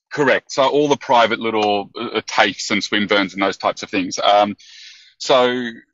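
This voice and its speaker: The speaker has an Australian accent. The pace is moderate, with ordinary pitch variation. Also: man. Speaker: business consultant moving into coaching. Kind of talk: call-in question on a coaching podcast. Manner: halting, with many fillers.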